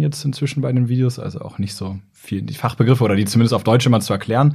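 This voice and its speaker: A man talks at a fairly quick pace with lively intonation. His dark, mellow tone is somewhat breathy. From northern Germany, Braunschweig. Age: 30s. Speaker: neurologist and YouTuber. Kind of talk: casual interview. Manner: hesitant with fillers.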